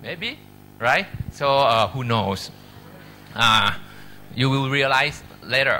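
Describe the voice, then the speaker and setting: A man with a Thai accent speaks at a very slow pace, with long, frequent pauses and ordinary pitch variation. Audible room echo surrounds his voice. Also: medium pitch for a man. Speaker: medical professor. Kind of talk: lecture. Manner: halting.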